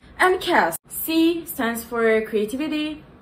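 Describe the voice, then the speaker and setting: Amid noticeable background noise, a woman speaks with very wide pitch swings. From Turkey. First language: Turkish. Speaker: content creator. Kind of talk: casual tutorial vlog. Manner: animated, casual.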